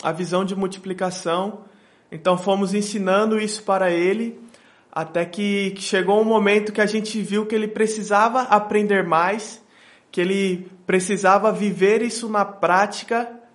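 At a fairly slow pace, a man with a high pitch speaks in a monotone, flat intonation. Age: 20s. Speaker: missionary. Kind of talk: interview.

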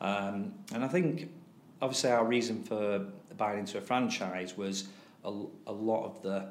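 A man with a Greater Manchester accent, fairly low in pitch, at a moderate pace with fairly even intonation and audible room echo. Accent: northern English (Oldham). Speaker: teacher and tutoring business owner. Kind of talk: casual interview. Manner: halting, many fillers.

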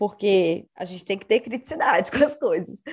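A woman speaking at a moderate pace. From Brazil, Espírito Santo. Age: 30s. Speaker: personal organization content creator. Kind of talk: casual interview chat.

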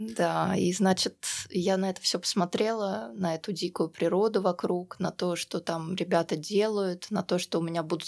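A woman with an unremarkable speaking voice talks at a moderate pace. Her pitch is fairly low, with ordinary variation. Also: very clean recording, silent background. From Russia. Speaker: libertarian activist. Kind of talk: interview. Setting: studio.

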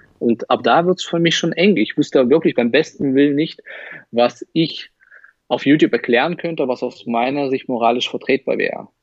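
The voice has a Russian accent. The sound is dry and close, with no echo. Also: man, fairly high pitch for a man, ordinary pitch variation, moderate pace. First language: Russian (speaking German). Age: 30s. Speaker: magician and YouTuber. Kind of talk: casual interview. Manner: hesitant, many fillers.

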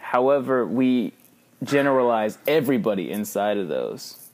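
A man with an unremarkable speaking voice and an American accent, medium in pitch, at a fairly slow pace. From Texas, Victoria. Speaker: podcast co-host. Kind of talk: casual chat.

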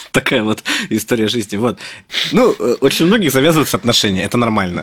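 A man talking at a very fast clip, his intonation lively. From Russia, Moscow. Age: 30s. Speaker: software developer. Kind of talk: casual interview.

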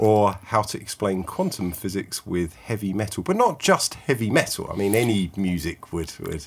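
A man with a fairly low pitch has a plain, everyday voice. He talks at a moderate pace with ordinary pitch variation and hardly any pauses. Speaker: podcast host and guitarist. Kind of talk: casual interview.

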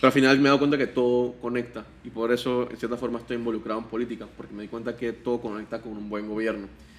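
Speaking at a very fast pace with hardly any pauses, a man keeps a medium pitch and a monotone, flat intonation while his loudness swings widely. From Panama. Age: 20s. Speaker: political candidate. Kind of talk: interview.

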